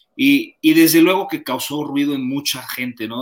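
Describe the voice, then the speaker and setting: Spoken at a moderate pace with ordinary pitch variation, in a Mexican accent. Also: man. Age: 40s. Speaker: sports commentator. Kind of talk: interview.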